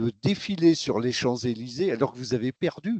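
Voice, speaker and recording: The intonation is lively as a man speaks. The sound is dry and close, with no echo. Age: 70s. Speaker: football supporter. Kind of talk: interview.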